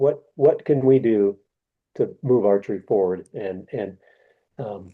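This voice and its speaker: Pitch variation is ordinary, and the pace is fairly slow. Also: man. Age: 60s. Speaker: archery business executive and candidate for sport federation president. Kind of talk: interview. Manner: halting.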